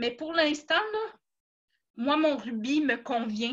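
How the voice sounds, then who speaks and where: Against a quiet background, a woman with a Quebec accent speaks at a very slow pace in a bright, sharp tone with ordinary pitch variation. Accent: Québécois French. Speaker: network marketing seller. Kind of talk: personal testimony in a live talk.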